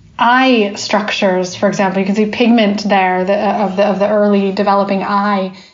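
At a fairly slow pace, a woman talks at a medium pitch. Audible room echo and noticeable background noise surround her. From United States. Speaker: biologist. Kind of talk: interview.

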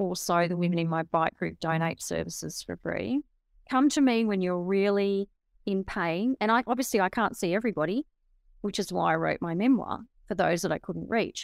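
With an Australian accent, a woman speaks at medium pitch and a moderate pace with ordinary pitch variation, recorded very cleanly against a silent background in a dry, close sound with no echo. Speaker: author and motivational speaker. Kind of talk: interview.

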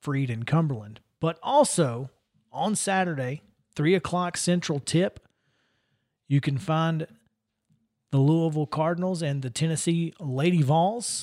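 On a very clean recording with a silent background, a man with a fairly high pitch and ordinary pitch variation speaks with long, frequent pauses. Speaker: sports radio host. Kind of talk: casual sports talk show. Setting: studio.

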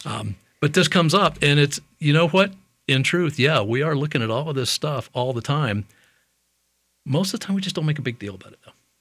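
A man speaks at a fairly quick pace in a normal speaking voice, his fairly high pitch carried by lively intonation. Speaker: dentist. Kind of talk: casual interview chat. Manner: joking, humorous.

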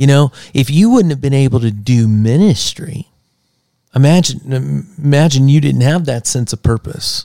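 With an American accent, a man speaks in a dark, mellow tone with ordinary pitch variation, and the sound is dry and close with no echo. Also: fairly high pitch for a man, moderate pace. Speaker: podcast co-host. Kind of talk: casual chat. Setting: studio. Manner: animated.

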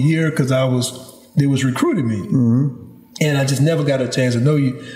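At a fairly quick pace, a man with a Louisiana accent talks over noticeable background noise. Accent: Louisiana Southern US. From Louisiana, Baton Rouge. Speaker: podcast host. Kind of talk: interview. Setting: at a home with animals in background.

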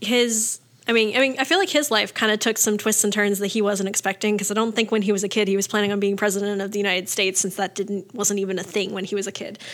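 Speaking at a very fast pace with hardly any pauses, a woman uses an American accent. Her medium-pitched voice keeps a fairly even intonation. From Richmond, Virginia. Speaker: youth mentor and nonprofit administrator. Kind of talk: casual interview.

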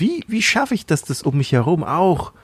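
A man speaks with a somewhat breathy quality. His pitch swings very widely. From Thailand. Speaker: podcast host and church planter. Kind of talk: casual chat.

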